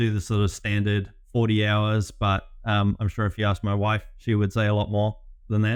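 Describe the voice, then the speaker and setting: A man's fairly low voice at a moderate pace. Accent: New Zealand. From New Zealand. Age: 30s. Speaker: business growth consultant. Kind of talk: interview. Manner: hesitant, many fillers.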